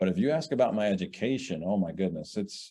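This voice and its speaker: Against a quiet background, a man with a Southern US accent speaks in a dark, mellow tone with ordinary pitch variation. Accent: Southern American. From US South, New Orleans. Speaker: business founder. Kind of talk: interview.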